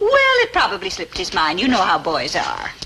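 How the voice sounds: In a put-on character voice, a woman speaks at a moderate pace with a fairly low pitch, very wide pitch swings and a bright, sharp tone over faint background noise.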